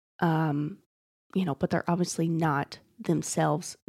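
On a very clean recording with a silent background, a woman with a fairly low pitch and vocal fry talks at a fairly slow pace with ordinary pitch variation. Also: dry, close sound with no echo. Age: 30s. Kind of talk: casual faith monologue. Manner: hesitant, many fillers.

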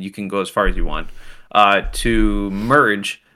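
A man speaks in a bright, sharp tone on a very clean recording with a silent background. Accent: Canadian. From Canada. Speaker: video game composer. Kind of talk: casual interview.

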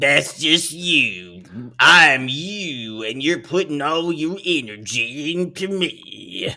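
This man puts on a character voice, pitched fairly high, and talks at a very slow pace.

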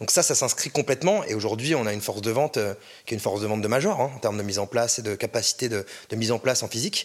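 A man talks at a very fast pace with medium pitch and ordinary pitch variation. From France, Orléans. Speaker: music label director. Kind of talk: interview. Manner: casual, hesitant with fillers.

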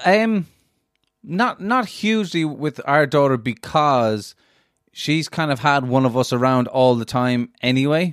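With lively intonation and a fairly high pitch, a man speaks fairly slowly in an unremarkable speaking voice. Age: 30s. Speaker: guest, comedian. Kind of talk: casual chat. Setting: video call.

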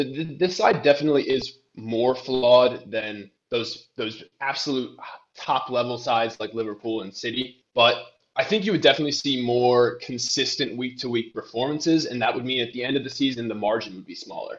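A man with a plain, everyday voice talks at medium pitch and a fairly quick pace, with ordinary pitch variation. His loudness swings a lot, against a quiet background. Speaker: data scientist and football fan. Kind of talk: interview. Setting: remote interview from the US.

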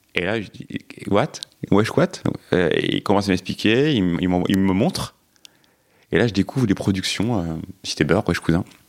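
The man's voice sits fairly low, with ordinary pitch variation. He speaks at a fairly slow pace, leaving long, frequent pauses. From France, Paris region (Cergy-Pontoise), Algerian Kabyle parents. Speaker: podcast guest. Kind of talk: personal testimony interview.

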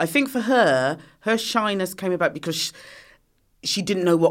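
A woman with a normal speaking voice talks at a moderate pace with fairly low pitch and lively intonation, recorded very cleanly against a silent background. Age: 50s. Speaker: menopause campaigner. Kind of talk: casual chat.

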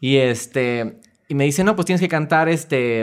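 A man talks in a plain, everyday voice with lively intonation. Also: very clean recording, silent background. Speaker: musical theatre actor. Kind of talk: casual chat.

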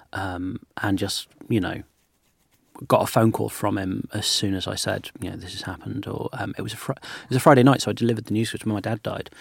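A man with an English accent speaks at a fairly quick pace in a fairly low pitch, his intonation fairly even, his loudness swinging widely, with vocal fry. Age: 20s. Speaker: radio producer and podcaster. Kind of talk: casual chat. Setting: studio.

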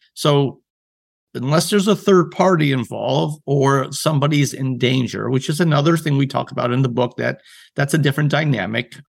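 Vocal fry marks this man's fairly high-pitched voice. He moves at a fairly quick pace with ordinary pitch variation. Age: 50s. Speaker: author. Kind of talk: interview.

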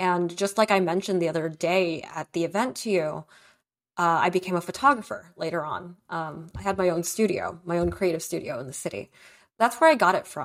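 Speaking at a fairly quick pace, a woman with an ordinary speaking voice uses a fairly low pitch with ordinary pitch variation. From Beijing, China, then Brooklyn, New York. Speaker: startup founder and collector. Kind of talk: casual interview chat.

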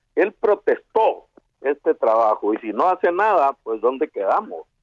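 A man speaks in a Chihuahua accent. He keeps a fairly slow pace. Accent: Chihuahua mountain. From Sierra de Chihuahua, Mexico. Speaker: activist. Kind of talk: phone interview. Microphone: bad connection.

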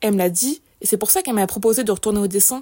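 This woman has a medium-pitched voice with a dark, mellow tone and fairly even intonation, captured in a very clean recording against a silent background. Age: 20s. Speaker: podcaster. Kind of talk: casual monologue. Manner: fluent; informal.

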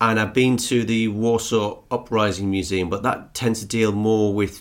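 With a London accent, a man speaks at a fairly low pitch and with fairly even intonation. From England, East London. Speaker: tour guide and podcast co-host. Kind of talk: casual chat.

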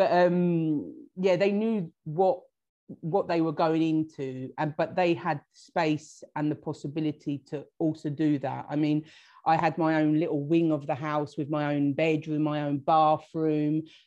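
A woman with a southern English accent speaks in a very deep, low voice with a dark, mellow tone. Her intonation stays fairly even. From southern England, Hastings, East Sussex. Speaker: marketing and communications professional. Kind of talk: interview. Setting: video call. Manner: halting, with repeated words.

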